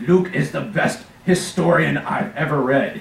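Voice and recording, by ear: A man's raspy, fairly high put-on character voice at a moderate pace, with slight echo.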